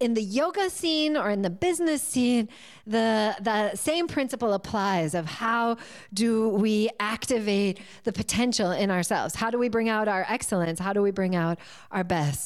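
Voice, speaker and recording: A woman with an American accent speaks at a fairly slow pace with a fairly high pitch and lively intonation, on a very clean recording with a silent background. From US Northeast, near Boston. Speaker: yoga teacher and coach. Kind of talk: interview.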